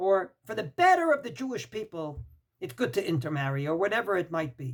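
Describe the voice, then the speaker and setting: The speaker has a Brooklyn accent and a fairly quick pace. The pitch swings very widely. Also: man, high pitch for a man. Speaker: rabbi, Torah teacher. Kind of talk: religious lecture. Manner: emphatic.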